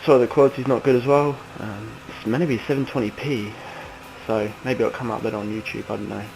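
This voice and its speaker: Over noticeable background noise, a man with an English accent talks at a very fast pace in a medium pitch, his intonation fairly even but his loudness swinging widely. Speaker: sim racing gamer. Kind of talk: gameplay tutorial commentary. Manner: hesitant, many ums.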